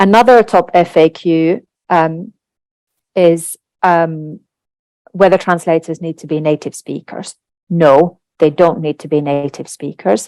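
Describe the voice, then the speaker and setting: A woman with a Finnish accent, a fairly low pitch, a dark, mellow tone, ordinary pitch variation, long, frequent pauses, and big swings in loudness, in a dry, close sound with no echo. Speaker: translation industry executive. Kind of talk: webinar presentation.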